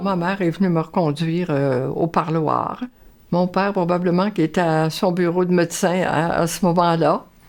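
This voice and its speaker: Over music in the background, a woman with a fairly low pitch speaks at a moderate pace, her loudness very even and her intonation fairly even. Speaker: nun. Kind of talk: interview testimony.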